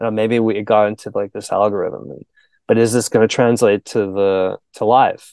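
A monotone, flat delivery at a moderate pace in a Canadian accent, dry and close with no echo against a quiet background. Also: man, fairly low pitch for a man. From Canada. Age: 40s. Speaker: musician. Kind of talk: casual chat.

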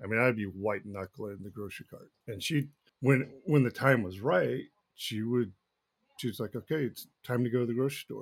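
A man's plain, everyday voice, medium in pitch with ordinary pitch variation, moderate in pace, with big swings in loudness. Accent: American. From Texas, Dallas area. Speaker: firefighter and former baseball player. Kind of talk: interview testimony.

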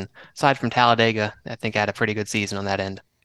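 A man with a Southern US accent at a very fast pace, dry and close with no echo, against a quiet background. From South Carolina, near Charleston. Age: 20s. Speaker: sim racing driver. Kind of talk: casual interview. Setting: video call.

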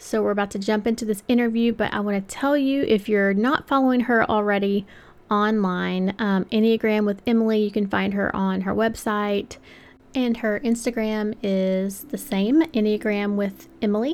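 Speaking at a moderate pace, a woman uses a fairly high voice with fairly even intonation. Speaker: podcast host. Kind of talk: casual interview intro and chat.

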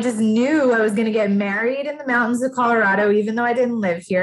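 A somewhat breathy voice with an American accent. The pitch moves in an ordinary way. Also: woman. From Massachusetts. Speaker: life coach. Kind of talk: casual chat.

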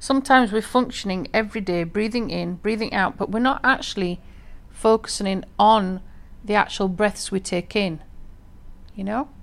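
A woman talks in a calm tone at a medium pitch. Her pitch varies in an ordinary way. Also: moderate pace. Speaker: podcast host and former teacher. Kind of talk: solo podcast monologue on meditation. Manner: calm, reflective, conversational.

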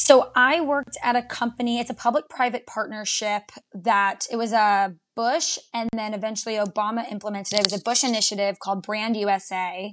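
This woman has a normal speaking voice, fairly high in pitch, with ordinary pitch variation and a fairly quick pace. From Texas, Dallas. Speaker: social media marketer. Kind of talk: casual chat.

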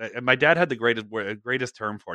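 A man's medium-pitched voice with an American accent, bright, sharp tone and lively intonation, in a dry, close sound with no echo over a quiet background. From northern US. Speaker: podcast host. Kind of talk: casual chat.

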